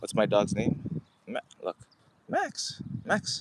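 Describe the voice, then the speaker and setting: A man speaks over noticeable background noise. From Canada. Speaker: founder live streamer. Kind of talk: casual live stream chat. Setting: outdoors.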